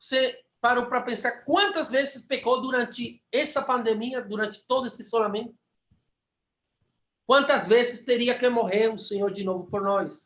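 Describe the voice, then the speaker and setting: Speaking with a Spanish accent at a moderate pace, a man uses an extremely high pitch with ordinary pitch variation. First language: Spanish (speaking Portuguese). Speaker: preacher. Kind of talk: sermon. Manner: fervent.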